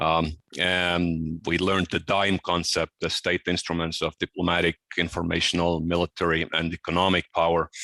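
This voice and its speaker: Very deep and low in pitch, a man with an American accent talks at a moderate pace in a monotone, flat way, his loudness very even. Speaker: military officer and security expert. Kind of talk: conference talk. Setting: video call to a seminar audience.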